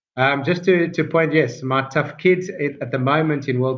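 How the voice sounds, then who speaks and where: With a strong South African accent, a man speaks at a moderate pace with fairly even intonation. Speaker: rabbi and Torah teacher. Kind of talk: online Torah class. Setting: video call. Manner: hesitant, many fillers.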